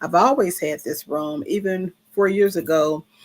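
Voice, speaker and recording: Here a woman with a medium pitch and ordinary pitch variation speaks fairly slowly in an ordinary speaking voice. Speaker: vlogger. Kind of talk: casual livestream monologue. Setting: live stream from a room.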